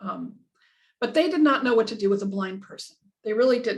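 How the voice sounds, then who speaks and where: Somewhat breathy, a woman with an American accent talks at a fairly quick pace with ordinary pitch variation. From Southern California. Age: 60s. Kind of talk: interview. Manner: halting.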